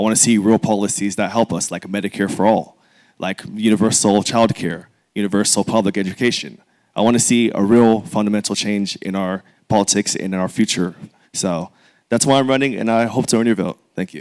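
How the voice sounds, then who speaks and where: A man with a plain, everyday voice speaks at a fairly low pitch with fairly even intonation on a very clean recording with a silent background. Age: 20s. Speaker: congressional candidate. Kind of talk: candidate forum opening statement.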